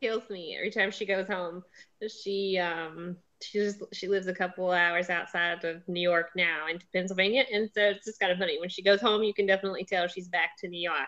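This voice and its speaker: A woman with a Southern US accent, medium pitch, a bright, sharp tone, fairly even intonation, big swings in loudness and a fairly quick pace, all against a quiet background. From US South. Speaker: book show host. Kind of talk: casual chat.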